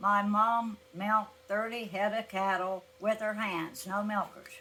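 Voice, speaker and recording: This woman speaks at a medium pitch and a fairly slow pace. Her intonation is monotone and flat. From Appalachia, southern Ohio (Scioto County). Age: 80s+. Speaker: elderly interviewee recalling farm life. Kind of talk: oral history interview.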